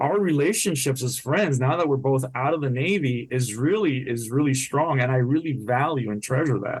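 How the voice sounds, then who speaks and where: The voice is somewhat breathy, with ordinary pitch variation. It moves at a moderate pace with hardly any pauses. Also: man, medium pitch for a man. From Puerto Rico. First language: Spanish. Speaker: retired naval officer and author. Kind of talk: podcast interview.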